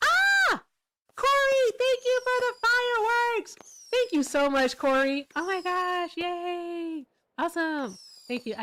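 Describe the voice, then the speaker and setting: A woman puts on a squeaky character voice at an extremely high pitch, with an excited tone. She speaks at a fairly slow pace. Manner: excited, high energy.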